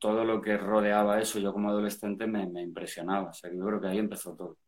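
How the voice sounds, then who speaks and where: At a fairly quick pace, a man with an unremarkable speaking voice talks in a fairly low pitch. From Spain, Valencia. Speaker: rock singer. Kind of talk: casual chat.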